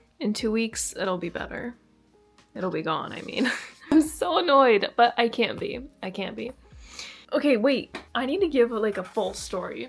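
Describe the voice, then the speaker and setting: With music in the background, a woman talks at a moderate pace with fairly high pitch, lively intonation and long, frequent pauses. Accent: Canadian. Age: 20s. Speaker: lifestyle vlogger. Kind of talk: casual talk to camera. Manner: chatty.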